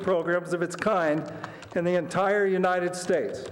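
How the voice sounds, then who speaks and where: A man at a high pitch and moderate pace, against noticeable background noise. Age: 60s. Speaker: public commenter, masters swimmer. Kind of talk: prepared public comment. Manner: formal.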